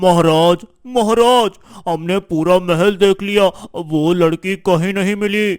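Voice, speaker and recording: A man's cartoonish character voice, high in pitch, at a fairly slow pace, with a dry, close sound with no echo. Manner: hesitant, deferential.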